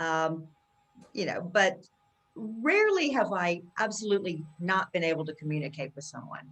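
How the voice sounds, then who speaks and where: A woman's normal speaking voice, fairly low in pitch, with lively intonation, big swings in loudness and a moderate pace. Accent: American. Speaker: accent coach. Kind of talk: interview.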